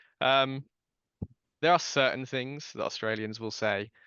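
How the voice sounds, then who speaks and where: A man with a British accent at a moderate pace, with ordinary pitch variation. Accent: RP, posh-sounding British. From southern England, Dorset. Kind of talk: casual chat.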